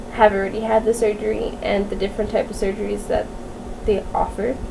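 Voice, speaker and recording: A woman talks in a room with audible echo, and noticeable background noise can be heard too. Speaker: vlogger sharing medical diagnosis. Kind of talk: casual vlog. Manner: monotone.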